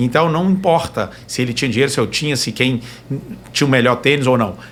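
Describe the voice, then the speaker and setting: A man speaks at medium pitch and a fairly quick pace with ordinary pitch variation. Noticeable background noise runs underneath. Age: young. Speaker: trail runner. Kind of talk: casual chat.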